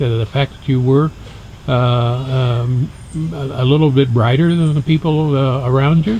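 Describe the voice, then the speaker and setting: Noticeable background noise sits behind a man of medium pitch whose loudness swings widely. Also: fairly even intonation, moderate pace. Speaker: interviewer. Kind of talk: interview questions.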